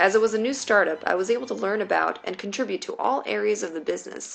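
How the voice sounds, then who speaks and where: A woman talks at a fairly quick pace in a medium pitch. Noticeable background noise is present. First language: Mandarin Chinese. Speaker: business school applicant. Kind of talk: reading aloud.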